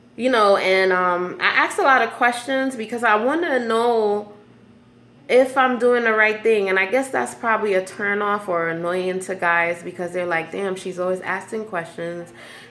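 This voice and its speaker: With audible room echo, a woman speaks at a moderate pace and medium pitch, her intonation lively. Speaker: vlogger sharing personal stories. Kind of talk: personal venting monologue. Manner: halting, many fillers.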